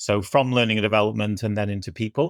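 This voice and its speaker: Recorded very cleanly against a silent background, a man speaks in a fairly low pitch with a northwest English accent. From northwest England. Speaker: business executive. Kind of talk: podcast interview.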